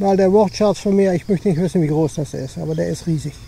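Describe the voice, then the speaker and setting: A man with a high pitch speaks over noticeable background noise. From Dutch-German border, Limburg. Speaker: hiking vlogger. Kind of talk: casual vlog narration while walking. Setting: outdoors, hiking. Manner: casual, searching for words.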